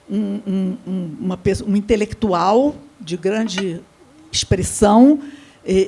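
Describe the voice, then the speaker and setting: The voice is female and fairly unhurried. Clear background noise sits beneath it. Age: 80s+. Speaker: samba researcher and panelist. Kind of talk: seminar panel talk. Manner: halting.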